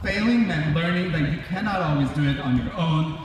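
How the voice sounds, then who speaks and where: Lively in intonation, a man speaks at a fairly high pitch. Noticeable background noise and audible room echo are present. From immigrant to US as a child. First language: non-English. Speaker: graduate speaker. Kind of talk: commencement speech. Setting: graduation ceremony. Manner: formal.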